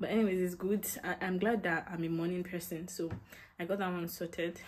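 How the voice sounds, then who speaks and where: A woman speaks with vocal fry. Light background noise can be heard. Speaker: student vlogger. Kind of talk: casual vlog chat. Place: home room. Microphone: phone near.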